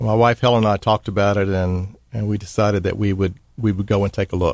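A man with an American accent speaks at a fairly low pitch in a monotone, flat intonation. The sound is dry and close, with no echo. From Dallas, Texas. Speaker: retired business executive. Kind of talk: radio interview. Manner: halting, many fillers.

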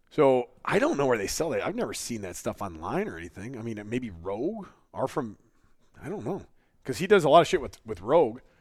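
Heard on a very clean recording with a silent background, a man speaks at a fairly quick pace and medium pitch, with very wide pitch swings, big swings in loudness and vocal fry. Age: 30s. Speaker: podcast co-host, strength athlete. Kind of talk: casual chat. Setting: studio. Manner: laughs often.

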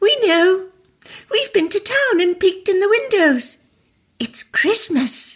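An extremely high-pitched voice at a fairly slow pace, broken by long, frequent pauses. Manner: cheerful, gossipy.

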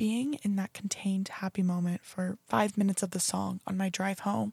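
With a General American accent, a woman speaks at medium pitch with ordinary variation, her tone dark, mellow and somewhat breathy, on a very clean, dry, close recording with no echo and a silent background. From US Pacific Northwest, Oregon. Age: 20s. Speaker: podcast host and college student. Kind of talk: casual solo podcast.

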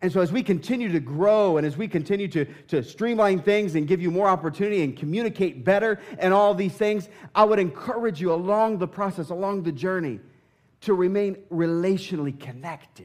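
The delivery is fairly quick and animated, with ordinary pitch variation. The recording is very clean, the background silent. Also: man, high pitch for a man. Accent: American. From southern Indiana. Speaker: pastor. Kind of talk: sermon. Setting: church.

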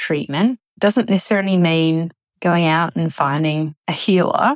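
A woman talks fairly slowly in an ordinary speaking voice, low-ish in pitch with ordinary pitch variation. The recording is very clean with a silent background, dry and close with no echo. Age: 40s. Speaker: eating disorder recovery community member. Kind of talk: recorded testimony.

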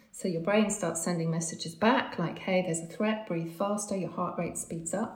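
A woman talks at a moderate pace in a fairly low pitch, with noticeable background noise behind her. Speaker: breathwork coach. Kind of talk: interview explanation.

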